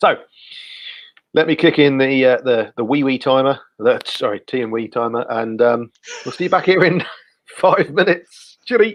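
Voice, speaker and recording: Pausing long and often, a man with a Guernsey accent speaks at a moderate pace and a fairly high pitch. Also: lively intonation. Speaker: community group host. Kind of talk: casual live stream chat. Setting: live video stream.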